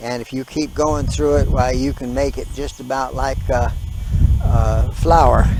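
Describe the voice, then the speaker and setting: A man moves at a fairly slow pace through noticeable background noise. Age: 70s. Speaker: homesteading gardener vlogger. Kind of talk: casual video vlog. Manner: hesitant, many uh fillers.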